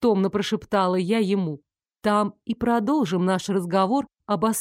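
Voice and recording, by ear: The background stays quiet. A person reads aloud in a natural voice.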